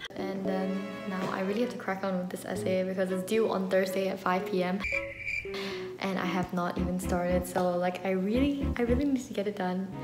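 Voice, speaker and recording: A woman talks at a moderate pace. Clear music sounds behind her. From Malaysia. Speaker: university student. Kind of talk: casual talk to camera. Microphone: phone near.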